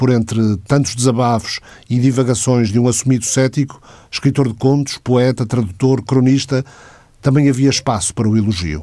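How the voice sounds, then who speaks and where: A man talks at a moderate pace with medium pitch and a dark, mellow tone. His loudness is very even, his pitch varies in an ordinary way, and the recording is very clean with a silent background. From northern Portugal, Porto. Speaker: radio host. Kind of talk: scripted narration. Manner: formal.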